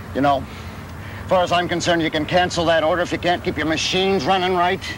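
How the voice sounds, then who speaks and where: A man's gruff, put-on character voice, high-pitched and very fast, over noticeable background noise. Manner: angry, gruff, sarcastic.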